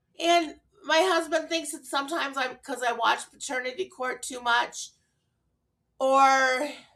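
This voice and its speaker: A woman speaks in a high voice at a very slow pace. There is music in the background. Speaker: mental health vlogger. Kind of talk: personal vlog talk. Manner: halting, with pauses; slightly slurred.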